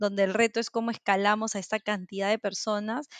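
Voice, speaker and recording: Over a quiet background, a woman talks in a normal speaking voice, fairly high-pitched and fairly quick, with a dry, close sound and no echo. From Peru. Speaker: corporate culture manager and remote work advocate. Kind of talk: interview.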